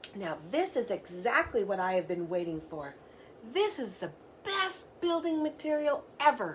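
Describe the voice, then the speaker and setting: Over clear background noise, a woman does a put-on character voice in a fairly high pitch with very wide pitch swings at a moderate pace. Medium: read story.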